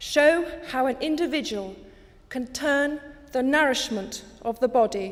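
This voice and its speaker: In a British accent, a woman speaks fairly slowly at a high pitch with ordinary pitch variation. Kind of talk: public speech. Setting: archive recording.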